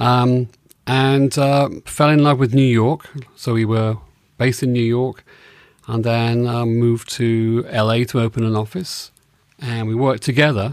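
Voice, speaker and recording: With an English accent, a man speaks at a fairly slow pace and medium pitch, his intonation fairly even, on a very clean recording with a silent background. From England. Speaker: advertising creative director, host's husband. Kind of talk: casual interview conversation.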